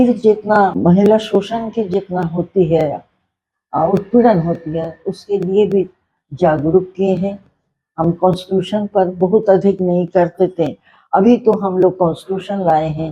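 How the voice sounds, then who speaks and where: This woman's voice has a dark, mellow tone, is somewhat breathy, and keeps a fairly even intonation. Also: medium pitch for a woman. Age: 80s+. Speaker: social worker. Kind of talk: interview answer.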